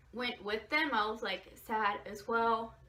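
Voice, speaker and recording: Against noticeable background noise, a woman with an American accent and a fairly high pitch speaks at a moderate pace. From Southern California, Orange County. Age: 20s. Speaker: YouTuber. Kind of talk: personal storytelling vlog. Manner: casual, filler-heavy.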